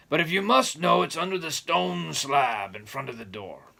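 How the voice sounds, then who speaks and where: Shouting in a raspy, gruff put-on character voice, a man at medium pitch speaks at a moderate pace with very wide pitch swings. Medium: read story. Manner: gruff, shouting.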